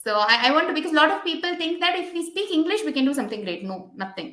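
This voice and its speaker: A raised, projected voice, bright and sharp, very fast, with very wide pitch swings and audible room echo. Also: woman. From India. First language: an Indian language. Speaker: podcast host, physiotherapist. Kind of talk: interview podcast chat. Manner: animated.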